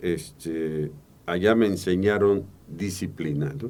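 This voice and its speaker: Very slowly, a man speaks in a very deep, low pitch. His pitch variation is ordinary. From Veracruz, Mexico. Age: 70s. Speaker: public accountant and auditor. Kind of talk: interview. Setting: studio.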